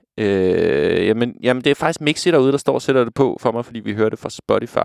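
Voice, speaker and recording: A man speaks in a normal speaking voice at medium pitch with ordinary pitch variation, the sound dry and close with no echo on a very clean recording with a silent background. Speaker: radio DJ. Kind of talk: casual radio presenting.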